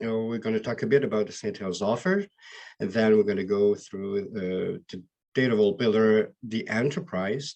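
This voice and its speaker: The speaker has a Quebec accent and a moderate pace, with ordinary pitch variation. The background is quiet. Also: man. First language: French. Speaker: BI solution architect. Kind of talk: webinar presentation. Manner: halting.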